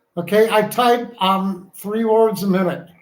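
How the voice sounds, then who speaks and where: A man talks with high pitch and fairly even intonation. Audible room echo surrounds his voice. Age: 60s. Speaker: co-host, partner of the streamer. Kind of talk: casual chat.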